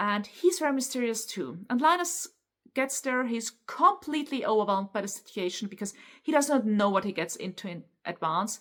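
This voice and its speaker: At a fairly quick pace, a woman with a German accent speaks at a fairly high pitch with very wide pitch swings. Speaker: book YouTuber. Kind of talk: casual book review, unscripted. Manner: halting, stumbles over words.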